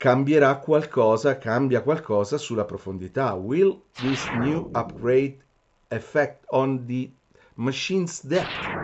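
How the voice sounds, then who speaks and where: A man with an Italian accent, medium-pitched, at a fairly slow pace with ordinary pitch variation. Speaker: metal detector shop owner and interviewer. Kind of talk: interview. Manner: halting.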